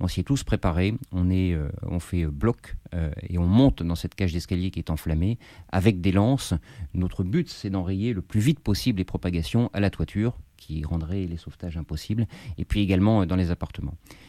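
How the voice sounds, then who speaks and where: Speaking at a moderate pace, a man has a very deep, low voice with a dark, mellow tone and ordinary pitch variation. The recording is very clean with a silent background and a dry, close sound free of echo. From Paris, France. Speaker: firefighter officer and author. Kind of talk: interview.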